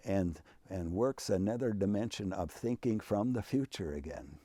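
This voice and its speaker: In an Upper Midwest accent, a man with a dark, mellow tone uses lively intonation in a very clean recording with a silent background and a dry, close sound with no echo. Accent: Upper Midwest American. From Minnesota. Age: 80s+. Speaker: retired university president. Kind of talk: interview. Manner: animated.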